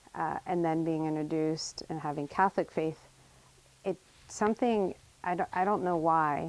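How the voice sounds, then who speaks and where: A normal speaking voice carries fairly even intonation. It moves along at a moderate pace. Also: woman, fairly low pitch for a woman. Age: 40s. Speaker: interviewee. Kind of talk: interview, personal storytelling.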